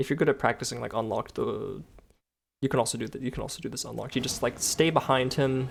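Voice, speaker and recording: A man talks at a very fast pace with a medium pitch and vocal fry in a very clean recording with a silent background. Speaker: video game guide maker. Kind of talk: gameplay tutorial commentary. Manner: casual, hesitant with fillers.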